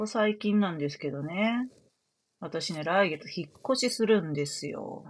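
A woman speaks at a fairly slow pace in a medium pitch, her intonation lively and her loudness swinging widely. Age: 40s. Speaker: astrologer and fortune teller. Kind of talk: solo talk show monologue. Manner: casual with many filler words.

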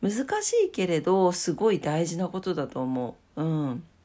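A woman with a fairly low pitch and a dark, mellow tone speaks at a fairly slow pace. Her intonation is lively. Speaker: solo podcast host. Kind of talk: casual morning monologue.

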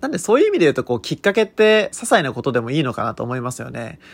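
A man at a very fast pace. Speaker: consultant and podcaster. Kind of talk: unscripted solo monologue. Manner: frequent filler words.

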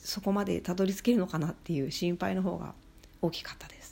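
With a dark, mellow tone and fairly low pitch, a woman talks at a fairly quick pace and fairly even intonation. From Shikoku, Japan. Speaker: podcaster. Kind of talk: solo monologue.

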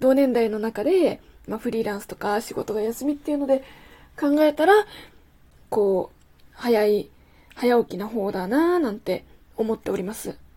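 A woman with a fairly high pitch and a dark, mellow tone speaks at a moderate pace. Her intonation is lively and her loudness swings widely. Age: 20s. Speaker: podcast host. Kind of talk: solo monologue. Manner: casual, chatty.

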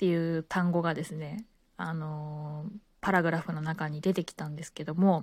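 A woman with a fairly low, somewhat breathy voice and relaxed tone speaks at a moderate pace in monotone, flat intonation, with big swings in loudness. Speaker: podcaster, former flight attendant. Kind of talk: casual monologue. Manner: relaxed, many filler words.

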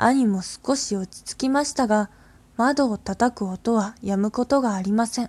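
A woman speaks in a calm tone at a fairly high pitch and a fairly slow pace. The sound is dry and close with no echo, and the recording is very clean with a silent background. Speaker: radio host reading ghost stories. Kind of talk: horror story reading aloud. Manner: calm, hushed storyteller pace, building dread; slightly halting, with fillers and small stumbles.

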